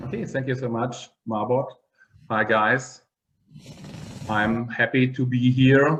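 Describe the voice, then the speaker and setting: A man's medium-pitched voice at a very slow pace, with long, frequent pauses. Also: fairly even intonation. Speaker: occupational therapist and meditation researcher. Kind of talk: online interview. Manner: halting.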